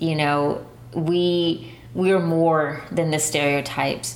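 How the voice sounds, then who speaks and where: With an American accent, a woman speaks in a fairly low voice amid noticeable background noise. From San Antonio, Texas. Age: 20s. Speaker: listener storyteller. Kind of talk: personal storytelling.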